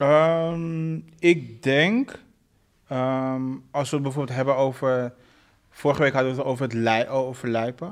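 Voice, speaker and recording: A man speaks in a plain, everyday voice at a medium pitch with ordinary pitch variation. His fairly slow delivery is captured on a very clean recording with a silent background. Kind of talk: casual chat.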